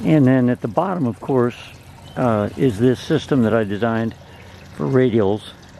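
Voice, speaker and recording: Lively intonation from a man at a moderate pace, in a dry sound with no echo and light background noise. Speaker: ham radio hobbyist. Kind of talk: casual tutorial demo. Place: garden.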